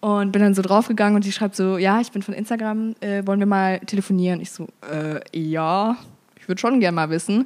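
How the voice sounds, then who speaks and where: On a very clean recording with a silent background, a woman with a normal speaking voice talks fairly quickly at a medium pitch, with fairly even intonation. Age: 20s. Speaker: social media activist. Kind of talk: interview.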